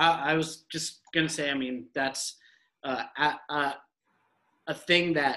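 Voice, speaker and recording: A man's voice with fairly even intonation. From Middle East, born in US. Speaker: podcast co-host, dad. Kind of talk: casual chat.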